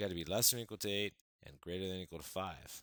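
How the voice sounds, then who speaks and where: The recording is very clean with a silent background. A man's voice there is very deep and low in pitch. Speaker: math teacher. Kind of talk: tutorial. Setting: recorded video lesson. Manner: fast.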